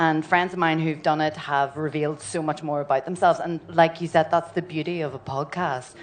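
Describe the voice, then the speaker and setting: In a Northern Irish accent, a woman speaks at a fairly low pitch with fairly even intonation. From Northern Ireland. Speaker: actress. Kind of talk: live podcast panel chat.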